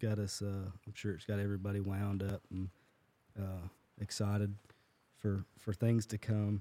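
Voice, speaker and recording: At a moderate pace with long, frequent pauses, a man with a Southern US accent speaks in a fairly low pitch and a dark, mellow tone, his intonation monotone and flat, the sound dry and close with no echo. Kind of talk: casual chat and prayer. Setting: recording in a shop with small audience.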